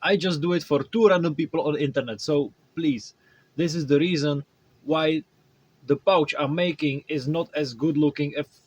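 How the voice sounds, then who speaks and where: With a Czech accent, a man speaks at a moderate pace and fairly high pitch with ordinary pitch variation, in a dry, close sound with no echo. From Czech Republic. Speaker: cosplay maker. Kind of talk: tutorial. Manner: halting.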